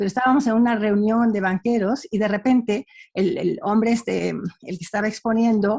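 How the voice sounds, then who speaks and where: In a quiet setting, a woman speaks at a moderate pace with a fairly high, somewhat breathy voice. Her pitch varies in an ordinary way. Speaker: panelist. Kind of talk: panel discussion. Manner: halting.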